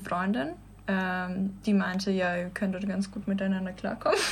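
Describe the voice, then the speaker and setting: At a fairly quick pace, a woman speaks at a medium pitch. Noticeable background noise can be heard. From Russia, St. Petersburg. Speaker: dancer. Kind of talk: casual chat. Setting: studio.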